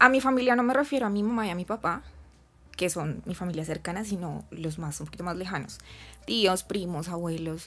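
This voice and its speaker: A woman with a Bogotá accent speaks with lively intonation in a very clean recording with a silent background. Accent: Bogotá Colombian Spanish. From Colombia, Bogotá. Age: 20s. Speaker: flight attendant. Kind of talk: interview.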